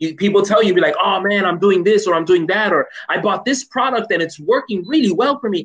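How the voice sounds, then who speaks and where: In a quiet setting, a man with an American accent talks at a fairly quick pace in a high voice, with lively intonation and an animated tone. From Chicago, US. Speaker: English professor; guest. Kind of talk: casual chat. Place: home room. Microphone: video call.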